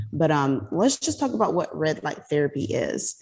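Using a very deep, low pitch and vocal fry, a woman with an American accent talks at a fairly quick pace. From South Carolina. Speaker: nurse practitioner and podcast co-host. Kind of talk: casual chat.

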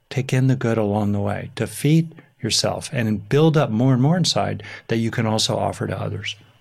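An ordinary speaking voice: a man at medium pitch, ordinary pitch variation, fairly quick pace. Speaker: psychologist and author. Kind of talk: interview conversation.

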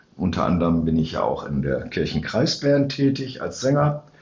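Moderate pace and lively intonation in a room with audible echo. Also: man. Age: 60s. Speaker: church council member and podcast co-host. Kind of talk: casual chat. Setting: sacristy of a church.

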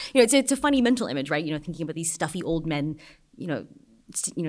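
In a very clean recording with a silent background, a woman speaks at a fairly low pitch with lively intonation. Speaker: journalist. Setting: stage with audience, microphone.

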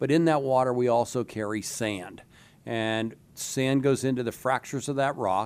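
At a moderate pace and medium pitch, a man speaks with fairly even intonation in a plain, everyday voice. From western Pennsylvania, Du Bois. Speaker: gas industry association president. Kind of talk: interview.

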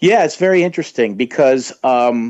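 At a fairly slow pace, a man talks in a normal speaking voice at medium pitch. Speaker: guest discussing horror films. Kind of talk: casual interview.

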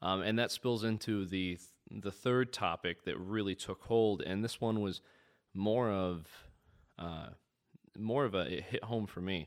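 A man with a Midwestern American accent speaks fairly slowly in a fairly low voice, leaving long, frequent pauses. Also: ordinary pitch variation, very clean recording, silent background. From US Midwest, central/northern Indiana. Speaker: student journalist and filmmaker. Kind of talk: casual interview chat.

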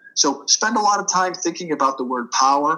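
Speaking with an American accent, a man with a fairly high pitch keeps a moderate pace. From Boston. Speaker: author and business leader. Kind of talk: interview.

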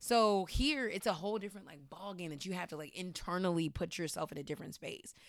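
Her words come at a very fast pace with hardly any pauses, as this woman speaks at medium pitch with lively intonation and big swings in loudness. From Washington, D.C. area. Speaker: entertainment journalist. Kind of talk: casual interview chat.

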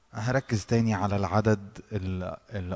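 Speaking at a fairly slow pace, a man with an Egyptian accent keeps his intonation fairly even. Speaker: worship leader. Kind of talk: devotional exhortation.

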